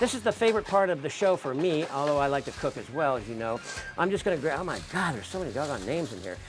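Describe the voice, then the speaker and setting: With music in the background, a man talks at a very fast pace in an energetic tone, his fairly high pitch making very wide swings. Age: 60s. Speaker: chef and cooking show host. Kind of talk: live cooking show with giveaway. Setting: home studio.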